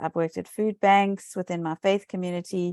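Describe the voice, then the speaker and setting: In a South African accent, a woman talks at a moderate pace with a fairly low, monotone, flat delivery. The sound is dry and close with no echo, on a very clean recording with a silent background. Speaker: municipal election candidate. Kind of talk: interview.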